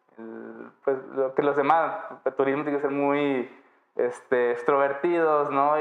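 A man speaks at a moderate pace with a fairly high pitch. His delivery is monotone and flat. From Mexico, Baja California Sur. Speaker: electronics engineer in IoT lab. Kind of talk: interview.

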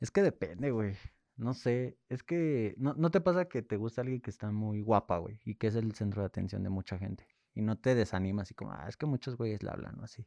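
A man's dark, mellow, medium-pitched voice, fairly quick and lively in intonation, dry and close with no echo against a quiet background. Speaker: podcast co-host. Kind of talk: casual chat.

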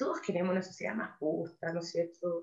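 A woman speaks with vocal fry. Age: 50s. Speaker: NGO executive director. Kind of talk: interview.

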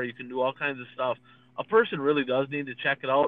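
A normal speaking voice with an American accent, at a fairly quick pace. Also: man. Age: 40s. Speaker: dirt racing podcast co-host, former racer. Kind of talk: casual chat.

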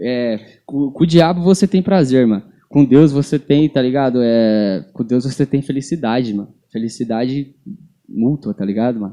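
At medium pitch with a dark, mellow tone, a man speaks at a moderate pace with ordinary pitch variation. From São Paulo, Brazil. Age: 20s. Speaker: barber and gospel rapper. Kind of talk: casual chat.

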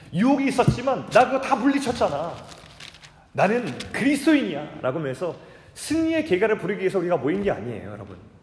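Speaking at a very fast pace, a man uses a high pitch with very wide pitch swings. Noticeable background noise and audible room echo are present. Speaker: pastor. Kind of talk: sermon.

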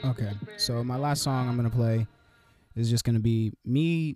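With an American accent, a man speaks at a medium pitch in a dark, mellow tone with ordinary pitch variation, the sound dry and close with no echo. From California. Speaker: podcast host. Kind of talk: casual monologue. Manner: halting.

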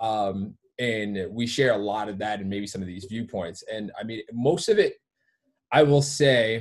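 A man's normal speaking voice with an American accent, fairly low in pitch, ordinary pitch variation, at a fairly slow pace. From Detroit area, Michigan. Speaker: gym owner and fitness coach. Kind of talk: casual chat.

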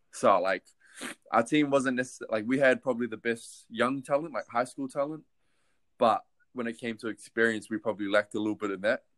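A man with a New Zealand accent at a medium pitch, very fast pace and ordinary pitch variation, on a very clean recording with a silent background. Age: 20s. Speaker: basketball player. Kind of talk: casual interview.

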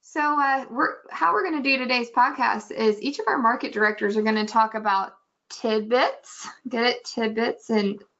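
This woman's voice sits at a fairly high pitch. She talks at a moderate pace with ordinary pitch variation. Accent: American. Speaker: podcast host. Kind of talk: casual podcast chat. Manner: animated, joking.

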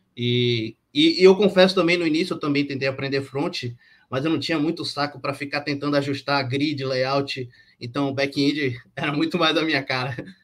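A man has an unremarkable speaking voice, fairly high in pitch. He speaks at a moderate pace with fairly even intonation. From Brazil, Bahia. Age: 30s. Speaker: software developer, project lead. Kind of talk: panel discussion.

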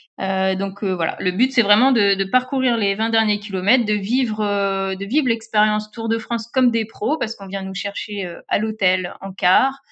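A woman speaks at a moderate pace and fairly high pitch, with ordinary pitch variation. She has an ordinary speaking voice. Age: 30s. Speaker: social media manager and cycling influencer. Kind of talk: interview.

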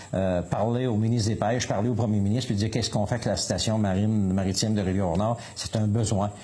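Noticeable background noise sits behind a man speaking at a very fast pace. His voice is fairly low, with monotone, flat intonation. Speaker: municipal councillor and fisherman. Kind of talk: radio interview. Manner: halting.

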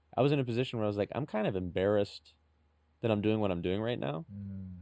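Dark, mellow male voice, fairly low in pitch, with ordinary pitch variation. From San Francisco. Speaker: stand-up comedian. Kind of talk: casual chat.

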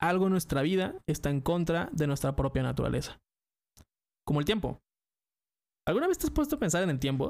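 Speaking fairly quickly with a Mexican accent, a man keeps his loudness very even and leaves long, frequent pauses in a very clean recording with a silent background. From Mexico. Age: 20s. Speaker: podcaster and streamer. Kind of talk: scripted monologue.

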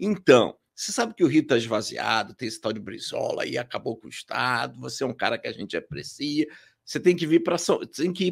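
With a silent background and a very clean recording, a man speaks fairly quickly. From Rio de Janeiro, Brazil. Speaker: company president. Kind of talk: casual interview.

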